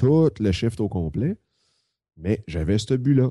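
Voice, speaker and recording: Here a man talks with a Quebec accent at a fairly slow pace. His tone is dark and mellow against a quiet background. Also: dry, close sound with no echo. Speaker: web entrepreneur and business consultant. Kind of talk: casual chat.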